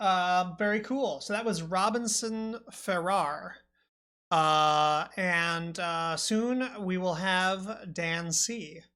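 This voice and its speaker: A woman speaks at a very slow pace in a bright, sharp tone, with ordinary pitch variation. Audible room echo surrounds her voice. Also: medium pitch for a woman. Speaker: podcast host. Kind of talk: casual chat. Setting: live stream. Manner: loud; clear enunciation.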